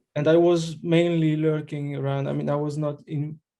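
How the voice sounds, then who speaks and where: The speaker is a man with a French accent. His voice is fairly high in pitch with a dark, mellow tone. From France. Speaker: election candidate, crypto enthusiast. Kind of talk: candidate pitch in group video call. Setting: video call. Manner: hesitant, many fillers.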